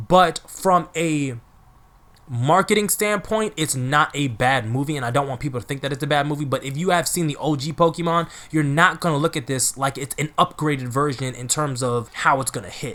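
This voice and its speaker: Animated and bright with a sharp tone, a man talks at a fairly quick pace and fairly high pitch, with ordinary pitch variation. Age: 20s. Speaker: anime youtuber, film reviewer. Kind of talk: casual video review.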